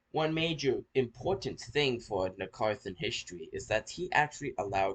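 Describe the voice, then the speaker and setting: This man's somewhat breathy voice moves through very wide pitch swings. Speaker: history video creator. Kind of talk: casual outro; informal history narration. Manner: halting with repetitions.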